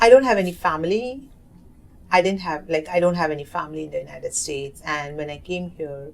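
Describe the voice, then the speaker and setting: With an Indian accent, a woman speaks at a fairly low pitch with very wide pitch swings. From South Asia. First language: Hindi. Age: 30s. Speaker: oral history narrator. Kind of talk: interview. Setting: community center. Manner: halting.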